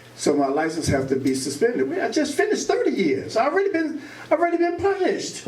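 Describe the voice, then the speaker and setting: Audible room echo and noticeable background noise surround a man speaking at a fairly quick pace. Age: 60s. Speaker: formerly incarcerated advocate. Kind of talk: public talk at community meeting. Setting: public meeting with audience.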